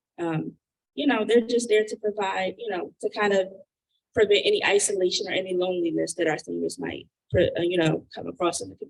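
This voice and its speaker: The speech moves at a fairly quick pace. Its loudness swings widely. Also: woman. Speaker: nonprofit program manager. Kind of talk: community meeting presentation. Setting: church hall meeting, streamed online. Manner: soft-spoken. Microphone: too quiet at first.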